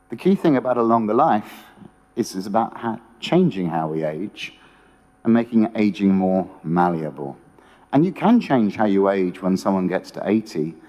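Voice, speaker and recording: In a British accent, the speaker's dark, mellow tone carries lively intonation at a moderate pace. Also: man. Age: 60s. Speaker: economist. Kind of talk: conference talk.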